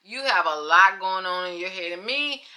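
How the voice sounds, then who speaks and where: A woman's normal speaking voice at medium pitch and moderate pace. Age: 60s. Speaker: lifestyle vlogger and small business owner. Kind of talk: casual monologue to camera. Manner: conversational and chatty, laughing at herself.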